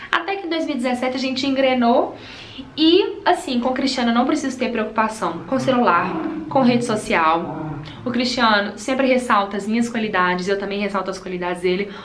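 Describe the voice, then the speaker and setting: A woman talks at a fairly quick pace, her fairly high voice swinging very widely in pitch. Noticeable background noise and audible room echo surround her. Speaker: beauty vlogger. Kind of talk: casual chat while doing makeup. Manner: fast.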